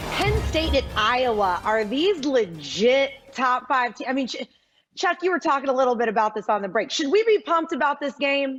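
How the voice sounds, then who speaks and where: With music in the background, a woman speaks loudly in a high pitch with very wide pitch swings. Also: moderate pace. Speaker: sports TV host. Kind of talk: TV sports show hosting.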